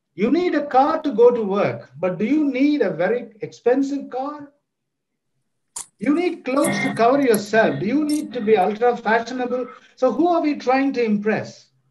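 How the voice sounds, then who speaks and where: Against audible room echo, a man with an extremely high pitch talks at a moderate pace with lively intonation. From South India (Chennai). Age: 60s. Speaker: professor. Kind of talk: lecture.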